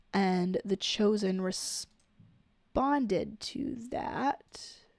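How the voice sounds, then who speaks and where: Speaking at medium pitch, a woman goes at a very slow pace. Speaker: podcast host. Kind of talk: casual commentary. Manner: halting.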